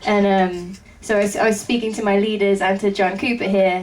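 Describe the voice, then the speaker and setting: A woman is speaking. Her pitch is medium. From England. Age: 20s. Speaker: rock band drummer. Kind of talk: interview.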